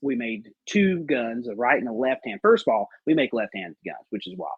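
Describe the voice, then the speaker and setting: Pitch varies in an ordinary way, and the pace is moderate. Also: man. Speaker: gun company representative. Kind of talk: casual podcast chat. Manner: halting, filler-heavy.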